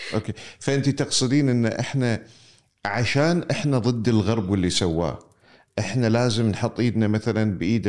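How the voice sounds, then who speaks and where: A man with a Kuwaiti accent speaks at a fairly low pitch. The recording is very clean, with a silent background. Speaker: interviewer. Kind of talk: conversational interview.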